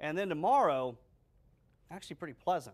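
At a fairly quick pace, a man speaks with lively intonation over a quiet background. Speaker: TV meteorologist. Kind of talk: weather report. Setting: studio. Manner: brisk, conversational, matter-of-fact. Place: studio. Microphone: lapel.

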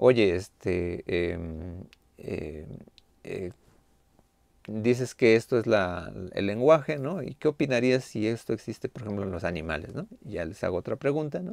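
A man of fairly low pitch at a fairly slow pace, with big swings in loudness, in a dry recording with no echo and a quiet background. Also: lively intonation. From Mexico. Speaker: university lecturer. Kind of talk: online class lecture. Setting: video call. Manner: halting, many fillers. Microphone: webcam.

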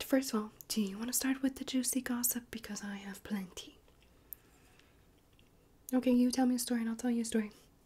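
Soft-spoken and high-pitched, a woman talks in a dark, mellow tone with monotone, flat intonation. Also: fairly quick pace. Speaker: roleplay host. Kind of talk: casual roleplay chat to viewer. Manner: soft close-mic ASMR gossip voice. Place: home room. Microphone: phone near.

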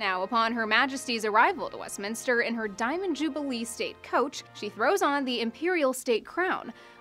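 This woman talks at a moderate pace with hardly any pauses and lively intonation. Her voice is high-pitched, and music plays in the background. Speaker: news reporter. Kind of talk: news package narration. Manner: wry, lightly humorous.

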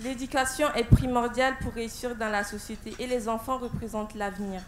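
A woman at a moderate pace, fairly high in pitch, with fairly even intonation.

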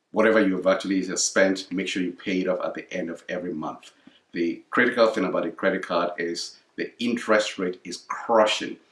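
A man speaks at a very deep, low pitch and a fairly quick pace. His intonation stays fairly even, and the room echo is audible. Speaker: parent giving financial advice. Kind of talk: casual educational chat. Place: home room.

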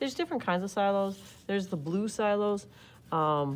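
In an ordinary speaking voice, a woman talks at a moderate pace with lively intonation against light background noise. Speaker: art teacher. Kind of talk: tutorial. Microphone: phone near.

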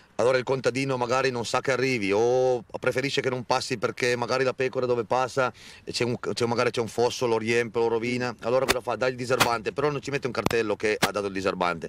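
Over noticeable background noise, a man talks at a very fast pace with a medium pitch and fairly even intonation, the sound dry with no echo. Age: 30s. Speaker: shepherd. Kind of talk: interview. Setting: outdoors. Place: open country. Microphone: handheld.

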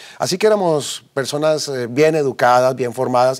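A man talks at a moderate pace with ordinary pitch variation. His pitch is fairly high, and the background stays quiet. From Colombia, Bogotá. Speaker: businessman giving faith testimony; interview guest. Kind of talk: testimony interview. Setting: TV studio. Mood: earnest, reflective. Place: studio. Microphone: lapel.

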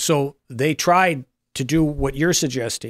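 A man's fairly even intonation, with a dry sound with no echo and a quiet background. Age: 50s. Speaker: political columnist. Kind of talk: casual panel talk show. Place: studio. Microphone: studio mic.

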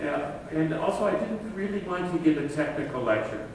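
Strong room echo and light background noise around a man at a moderate pace, with ordinary pitch variation. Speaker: speaker. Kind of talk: memorial lecture. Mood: warm, respectful tribute. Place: hall.

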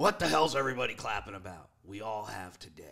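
A man puts on a gruff character voice at a fairly low pitch. He rattles along at a very fast pace.

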